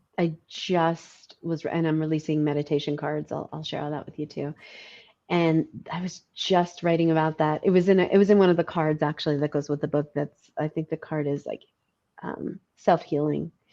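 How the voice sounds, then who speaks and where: A woman with a New York accent, very deep and low in pitch, dark and mellow in tone, monotone and flat, at a moderate pace. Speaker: podcast host. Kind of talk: casual interview chat.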